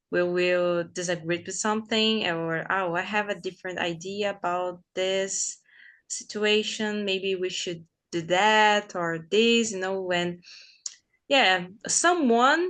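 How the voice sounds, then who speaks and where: In a Portuguese accent, a woman talks at a fairly slow pace with ordinary pitch variation over a quiet background. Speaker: English learner. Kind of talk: casual chat. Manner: halting.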